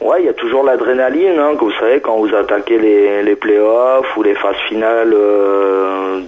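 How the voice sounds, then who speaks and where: Noticeable background noise sits behind this man, who talks at a moderate pace with a medium pitch. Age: 30s. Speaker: wheelchair basketball player. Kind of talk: interview. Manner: hesitant, many fillers.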